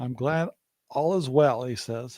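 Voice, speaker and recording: A man speaks in a dark, mellow tone, recorded with a dry, close sound and no echo. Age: 60s. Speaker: homesteading podcast host. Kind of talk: casual live podcast chat. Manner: halting, many fillers.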